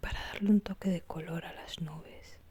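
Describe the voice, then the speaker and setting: A soft-spoken voice moves at a fairly slow pace. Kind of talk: ASMR craft tutorial talk.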